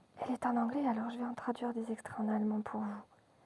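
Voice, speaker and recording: A woman whispers in a soothing tone. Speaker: ASMR storyteller. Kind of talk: children's bedtime story reading. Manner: whispered, soothing.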